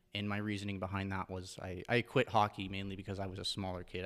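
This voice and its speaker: The recording is very clean, with a silent background. A man speaks fairly quickly in a fairly low voice. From Ontario, Canada (Port Elgin, Lake Huron). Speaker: fitness coach. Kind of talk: casual interview.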